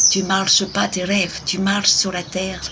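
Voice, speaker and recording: Noticeable noise fills the background. The talking proceeds at a very slow pace. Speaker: tarot card reader. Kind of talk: card reading. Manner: soft-spoken.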